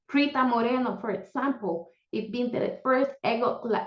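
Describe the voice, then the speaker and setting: Pitched high, a woman with a Puerto Rican accent speaks with ordinary pitch variation. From Puerto Rico. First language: Spanish. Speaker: panelist. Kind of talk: panel discussion. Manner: animated.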